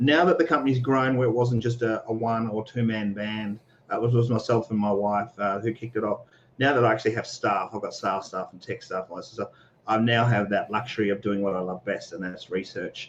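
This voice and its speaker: Speaking very fast with an Australian accent, a man shows ordinary pitch variation and big swings in loudness. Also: medium pitch for a man. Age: 40s. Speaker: security researcher and entrepreneur. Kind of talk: casual interview on a livestream. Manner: casual, many fillers and repetitions.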